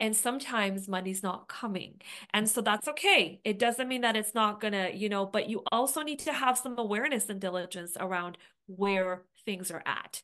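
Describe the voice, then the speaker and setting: Over a quiet background, a woman with a plain, everyday voice talks at a moderate pace and a fairly high pitch with ordinary pitch variation. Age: 40s. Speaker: astrologer and podcast co-host. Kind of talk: casual chat.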